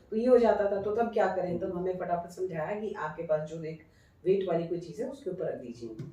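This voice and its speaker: A woman at a moderate pace and medium pitch, with lively intonation, big swings in loudness, and noticeable background noise. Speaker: radio broadcaster. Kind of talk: interview answer.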